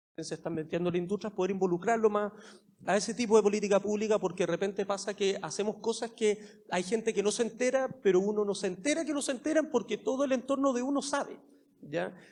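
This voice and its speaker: Words come at a very fast pace, with ordinary pitch variation. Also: man, high pitch for a man. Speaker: government official. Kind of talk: panel discussion.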